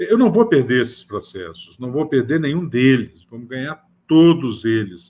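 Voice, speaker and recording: Lively intonation colors the medium-pitched, ordinary speaking voice of a man talking at a moderate speed. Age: 60s. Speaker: professor. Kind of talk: panel discussion.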